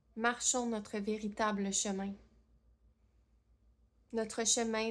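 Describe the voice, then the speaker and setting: A woman's fairly high voice at a very slow pace, in a monotone, flat intonation. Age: 30s. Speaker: medium, channeler. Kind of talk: channeled spiritual message.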